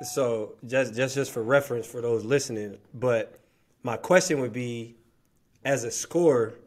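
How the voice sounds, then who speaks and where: A man uses an ordinary speaking voice at a medium pitch. He goes at a fairly slow pace with ordinary pitch variation. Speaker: podcast host. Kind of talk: casual chat. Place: home room.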